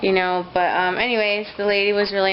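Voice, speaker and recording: Noticeable background noise and audible room echo around a woman's moderate-paced, medium-pitched voice. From US, moved from Mexico City at two and a half. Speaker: vlogger and young mother. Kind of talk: casual vlog monologue. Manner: halting, many fillers; loud.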